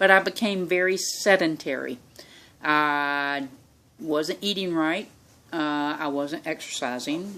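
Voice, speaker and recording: A woman speaks at a very deep, low pitch, with fairly even intonation. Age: 60s. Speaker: vlogger sharing health journey. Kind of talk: personal testimony. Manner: casual, halting with fillers.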